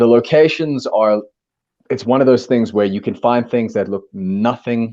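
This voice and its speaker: Over a quiet background, a man with a dark, mellow tone speaks at a moderate pace. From South Africa. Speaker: actor. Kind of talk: casual chat.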